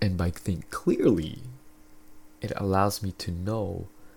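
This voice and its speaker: At a fairly slow pace, a man speaks in a somewhat breathy voice with a fairly low pitch. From Philippines. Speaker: podcast host. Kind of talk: casual solo monologue. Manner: casual, filler-heavy.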